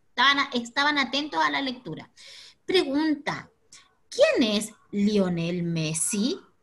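Pitched high, a woman speaks at a very slow pace with very wide pitch swings. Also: quiet background. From Chile. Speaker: teacher. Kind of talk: online class for children. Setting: video call. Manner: energetic. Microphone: video call.

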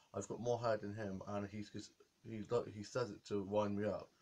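With a flat, monotone delivery, a man talks at a moderate pace in a fairly low voice. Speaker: vlogger. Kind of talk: casual vlog chat. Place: home room. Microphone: webcam.

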